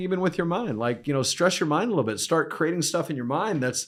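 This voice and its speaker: At a very fast pace, a man speaks in an animated tone with lively intonation, in a very clean recording with a silent background. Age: 60s. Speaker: performance coach. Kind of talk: podcast interview.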